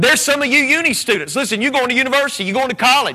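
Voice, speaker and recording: Raising and projecting his voice, a man with a Southern US accent speaks at an extremely high pitch. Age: 40s. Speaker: preacher. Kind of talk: sermon. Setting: church. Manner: animated.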